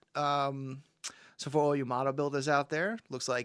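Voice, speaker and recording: With a New York accent, a man talks at a fairly quick pace and medium pitch, his intonation fairly even and the sound dry and close with no echo. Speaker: toy collector livestream host. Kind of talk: casual livestream chat. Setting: live stream. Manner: casual, halting with many fillers.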